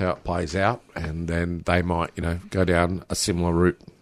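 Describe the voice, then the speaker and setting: A man with an Australian accent speaks at a moderate pace on a very clean recording with a silent background. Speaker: community radio broadcaster and musician. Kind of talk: interview.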